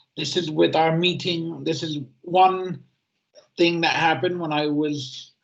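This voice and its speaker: A man keeps fairly even intonation at a fairly slow pace in an ordinary speaking voice. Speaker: easy-to-read editor, self-advocate. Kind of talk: prepared talk at a webinar. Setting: online webinar.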